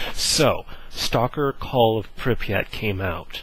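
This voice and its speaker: A man speaks over noticeable background noise. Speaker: gaming video creator. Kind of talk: casual gameplay preview talk. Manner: animated, hesitant with fillers.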